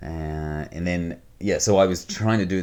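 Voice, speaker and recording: This man has a New Zealand accent. His pitch is very deep and low. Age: 40s. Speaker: money management coach. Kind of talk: interview. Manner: casual.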